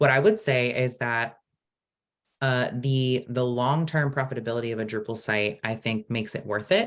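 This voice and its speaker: Using a normal speaking voice, a man with an American accent talks at a moderate pace in a medium pitch with fairly even intonation. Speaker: open source community program director. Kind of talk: online presentation Q&A. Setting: video call.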